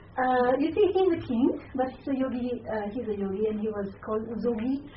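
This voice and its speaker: A woman with a non-native accent speaks at a moderate pace with ordinary pitch variation. Noticeable background noise and audible room echo surround her voice. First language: not English. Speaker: Buddhist nun and lecturer. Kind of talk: lecture. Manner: halting.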